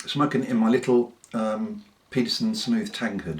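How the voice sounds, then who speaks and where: A man with a southern English accent, with noticeable background noise. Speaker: pipe smoker reviewer. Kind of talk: casual talk to camera.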